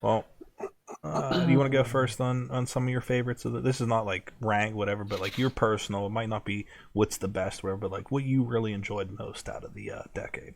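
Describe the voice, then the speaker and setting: Speech comes at a fairly quick pace, its pitch varying in an ordinary way. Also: man. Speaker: horror podcast co-host. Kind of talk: casual chat.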